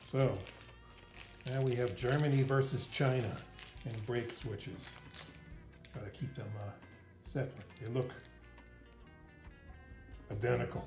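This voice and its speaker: Clear music plays in the background as a man speaks at a moderate pace with fairly even intonation. He takes long, frequent pauses. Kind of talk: tutorial. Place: garage.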